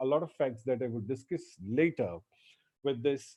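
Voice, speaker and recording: With a Gujarati accent, the speaker talks with lively intonation. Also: man. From India, Gujarati speaker. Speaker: lecturer. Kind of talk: lecture. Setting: online lecture.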